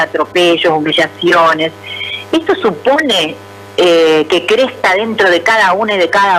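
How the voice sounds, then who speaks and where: With music in the background, a woman talks at a moderate pace and medium pitch. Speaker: radio host. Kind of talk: radio interview question.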